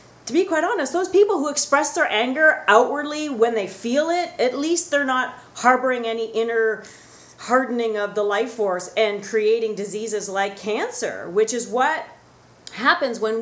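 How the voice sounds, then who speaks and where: A woman with a fairly high pitch speaks in an animated tone at a moderate pace, with lively intonation. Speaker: wellness vlogger. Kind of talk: angry rant. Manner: animated, emphatic, indignant; talkative, conversational, direct to viewers. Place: office. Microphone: webcam.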